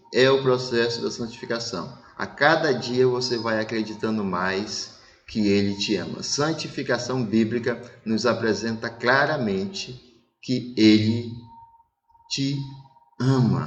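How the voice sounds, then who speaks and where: A man at a very slow pace, lively in intonation, with long, frequent pauses and audible room echo. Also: medium pitch for a man. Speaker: pastor. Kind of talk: sermon. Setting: online church service broadcast.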